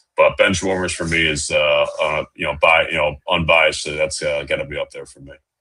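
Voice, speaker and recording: Talking at a fairly quick pace with hardly any pauses, a man lets his loudness swing widely. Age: 20s. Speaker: minor league baseball broadcaster. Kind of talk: casual interview chat. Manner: hesitant with fillers.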